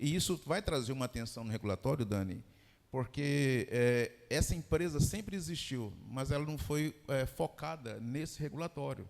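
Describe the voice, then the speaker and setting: A man with a medium-pitched voice speaks with a Goiás accent. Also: ordinary pitch variation, moderate pace. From Brazil, Goiás. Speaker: fintech executive. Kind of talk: panel discussion.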